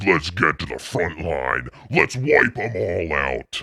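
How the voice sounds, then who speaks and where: A put-on character voice from a man, pitched very deep and low, moving fairly slowly. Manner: aggressive, battle-ready.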